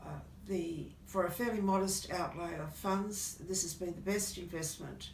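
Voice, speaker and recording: A woman speaks at a fairly low pitch with fairly even intonation. Audible room echo and noticeable background noise surround her. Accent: Australian. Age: 60s. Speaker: customer. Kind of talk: testimony. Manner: halting.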